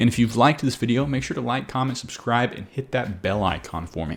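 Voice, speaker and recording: A man with a medium pitch and an upbeat tone talks at a very fast pace with lively intonation, in a very clean recording with a silent background. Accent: Southern US. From Arkansas, US South. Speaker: agency coach, interviewer. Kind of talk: casual interview; outro to camera.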